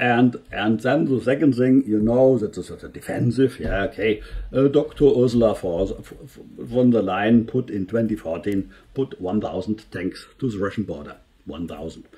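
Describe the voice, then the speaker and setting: A man's medium-pitched voice with a German accent, a dark, mellow tone and vocal fry, ordinary pitch variation, big swings in loudness and a moderate pace. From Germany. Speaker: engineer and political commentary youtuber. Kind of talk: video commentary. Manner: halting, many fillers and restarts.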